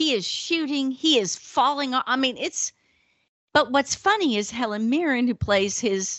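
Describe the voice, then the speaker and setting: Speaking with a Southern US accent at a fairly slow pace, the voice swings very widely in pitch. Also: woman. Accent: acquired Southern drawl. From northern US. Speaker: podcast co-host. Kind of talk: casual chat. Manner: animated.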